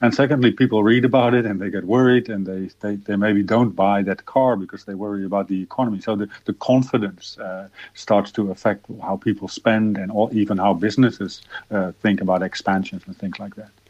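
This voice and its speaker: A man's fairly low voice, an unremarkable speaking voice with fairly even intonation, big swings in loudness and hardly any pauses. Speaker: economist. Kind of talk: interview. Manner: repetitive, stumbling.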